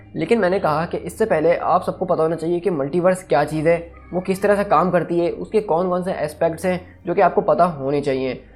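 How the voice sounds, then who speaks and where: A man speaks at a moderate pace and high pitch. His intonation stays fairly even. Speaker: YouTube explainer host. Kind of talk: explainer video monologue. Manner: casual, conversational.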